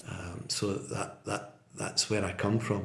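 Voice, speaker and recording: In a west of Scotland accent, a man speaks with a fairly low pitch and a somewhat breathy voice, with audible room echo. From Scotland, Port Glasgow (Inverclyde). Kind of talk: interview, casual chat. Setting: podcast. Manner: repeats words, hesitant fillers.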